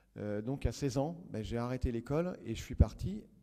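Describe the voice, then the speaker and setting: The man's voice has a medium pitch, ordinary pitch variation and a dark, mellow tone. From rural western France. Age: 30s. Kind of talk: public talk. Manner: hesitant, many fillers.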